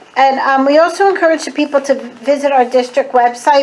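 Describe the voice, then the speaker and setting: A woman's high voice at a moderate pace over noticeable background noise. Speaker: school board member. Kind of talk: public presentation at village board meeting.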